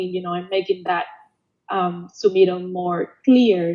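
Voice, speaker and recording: With a Spanish accent, a woman speaks at a moderate pace and medium pitch, her intonation fairly even. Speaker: past student award winner. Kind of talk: panel Q&A webinar. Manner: halting.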